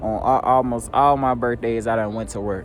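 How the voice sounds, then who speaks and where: A man's medium-pitched voice at a moderate pace with ordinary pitch variation, audible room echo and music in the background. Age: 20s. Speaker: vlogger. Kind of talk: personal vlog monologue. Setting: outdoors at a job site. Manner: casual, reflective.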